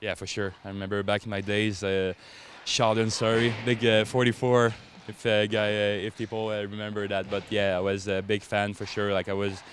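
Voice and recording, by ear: The pace is moderate. There is little pitch movement. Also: man, fairly low pitch for a man.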